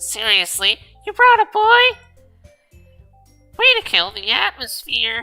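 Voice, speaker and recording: A put-on, nasal character voice at a fairly slow pace, with long, frequent pauses and faint music in the background. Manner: snide, dismissive.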